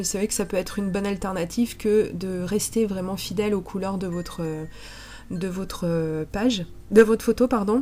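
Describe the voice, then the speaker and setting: A woman's dark, mellow tone at a moderate pace with fairly even intonation. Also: medium pitch for a woman. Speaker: scrapbooking crafter. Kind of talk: tutorial voice-over narration.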